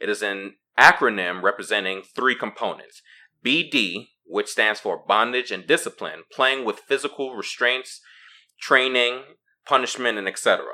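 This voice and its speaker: A man's medium-pitched voice, bright and sharp in tone, at a fairly slow pace. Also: ordinary pitch variation. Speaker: podcast host. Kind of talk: casual chat. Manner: dominant, stern, assertive.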